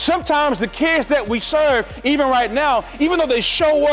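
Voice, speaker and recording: With music in the background, a man speaks at a moderate pace in a passionate tone at an extremely high pitch. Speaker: motivational keynote speaker for educators and students. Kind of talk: motivational keynote speech to audience. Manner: passionate, encouraging, emphatic.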